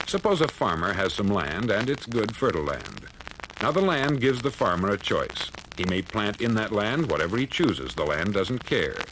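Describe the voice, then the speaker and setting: The voice moves at a moderate pace with very wide pitch swings. Noticeable background noise is present. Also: man, medium pitch for a man. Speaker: radio broadcaster. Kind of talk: motivational speech. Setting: 1950s spoken word record.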